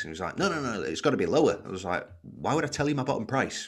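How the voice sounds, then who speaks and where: A man with a Lancashire accent speaks at a very fast pace, his medium pitch marked by vocal fry. His pitch swings very widely. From Wigan, northern England. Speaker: podcast host. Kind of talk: casual interview.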